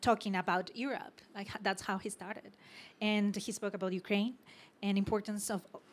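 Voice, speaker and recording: At a moderate pace, a woman with a Mexican accent speaks at a medium pitch. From Mexico. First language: Spanish. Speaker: panel moderator. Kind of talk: panel discussion. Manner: halting, many repetitions.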